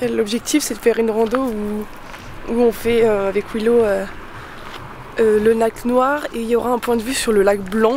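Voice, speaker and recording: Fairly slow and fairly high-pitched, the woman's speech shows ordinary pitch variation against noticeable background noise. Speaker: van-life vlogger. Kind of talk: travel vlog. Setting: outdoors on a hike. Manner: casual, hesitant with many fillers.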